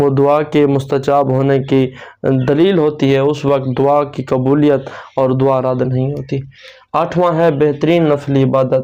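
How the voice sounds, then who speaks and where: Fairly high in pitch yet dark and mellow in tone, a man speaks with monotone, flat intonation. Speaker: Islamic preacher / religious video host. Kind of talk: religious sermon-style talk to camera.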